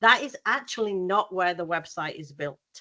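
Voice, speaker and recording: A medium-pitched woman in a British accent, with a bright, sharp tone, ordinary pitch variation, and a moderate pace over a quiet background. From UK. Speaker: graphic designer and workshop presenter. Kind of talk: workshop presentation. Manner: casual, many fillers.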